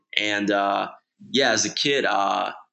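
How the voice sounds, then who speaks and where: A man speaks with a Midwestern American accent. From Michigan (Okemos, near Lansing). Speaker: sneaker industry creative. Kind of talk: casual interview chat.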